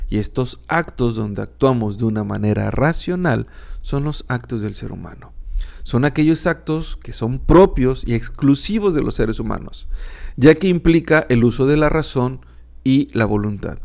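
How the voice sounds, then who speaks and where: At a fairly slow pace, a man with a medium pitch sounds calm and relaxed, his intonation lively. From northern Mexico. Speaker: philosophy podcaster and teacher. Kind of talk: educational podcast lecture. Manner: calm, relaxed.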